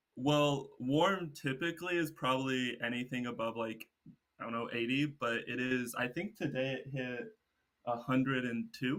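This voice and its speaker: A man with an American accent, medium pitch and a moderate pace, ordinary pitch variation, an unremarkable speaking voice. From Texas. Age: 20s. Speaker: solo traveler and environmental science student. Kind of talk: casual interview chat.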